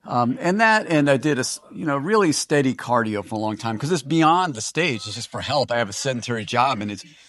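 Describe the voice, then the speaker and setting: A male voice is heard here. His delivery is fairly quick. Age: 60s. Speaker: natural bodybuilder. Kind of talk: interview. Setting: at a bodybuilding competition. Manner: halting, many fillers.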